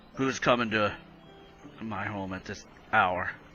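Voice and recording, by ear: In a put-on character voice, a man speaks gruff and raspy at a fairly low pitch, slow-ish and with fairly even intonation. Clear background noise runs underneath.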